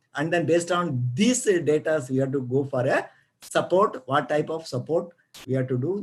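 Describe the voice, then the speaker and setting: A man speaks with an Indian accent. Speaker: retired geologist. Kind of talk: lecture. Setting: video call. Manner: fast; halting.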